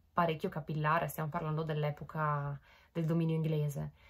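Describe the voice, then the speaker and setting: A woman's fairly low, somewhat breathy voice against a quiet background. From Italy. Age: 20s. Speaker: vlogger. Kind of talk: casual chat to camera. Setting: bedroom, home recording. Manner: hesitant, many fillers.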